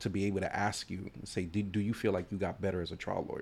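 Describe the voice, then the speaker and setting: The recording is very clean, with a silent background. A man speaks in a fairly low voice. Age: 30s. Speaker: trial attorney and law school trial coach. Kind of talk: casual chat.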